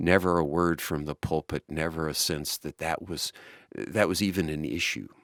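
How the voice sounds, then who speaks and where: In an American accent, a man with a very deep, low pitch talks at a moderate pace with fairly even intonation, captured in a very clean recording with a silent background and a dry, close sound without echo. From US South, Baton Rouge, Louisiana. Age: 60s. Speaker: nonprofit executive. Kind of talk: oral history interview. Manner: hesitant, many fillers.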